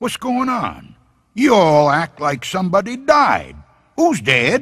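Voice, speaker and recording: A man's put-on character voice, high-pitched and at a fairly slow pace. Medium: read story. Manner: stubbornly cheerful.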